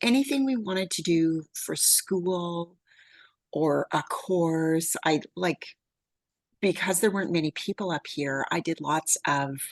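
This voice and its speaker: A woman with a Canadian accent speaks in an unremarkable speaking voice, fairly low in pitch and fairly slow, with lively intonation. The background is quiet, and the sound is dry and close with no echo. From Canada, Yukon. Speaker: wealth building coach. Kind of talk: casual chat.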